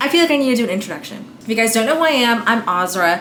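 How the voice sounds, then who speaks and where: A woman with an American accent, fairly high pitch and lively intonation at a very fast pace, amid audible room echo and noticeable background noise. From Staten Island, New York. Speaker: lifestyle vlogger. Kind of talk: casual vlog, apartment tour. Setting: at home. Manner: chatty, informal.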